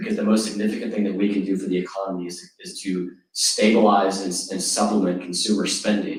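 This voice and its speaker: At a fairly quick pace with hardly any pauses, a man talks at a fairly low pitch in a monotone, flat intonation. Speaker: state legislator. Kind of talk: panel discussion. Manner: fast.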